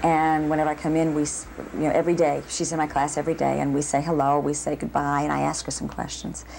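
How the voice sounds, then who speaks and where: Over light background noise, a woman with an American accent talks at a very fast pace. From Boston. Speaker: ballet dancer and dance professor. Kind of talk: interview. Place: home room.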